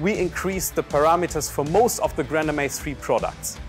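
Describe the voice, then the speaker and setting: The background carries faint music. A man talks at a moderate pace. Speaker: presenter. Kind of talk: product announcement. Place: studio. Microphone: lapel.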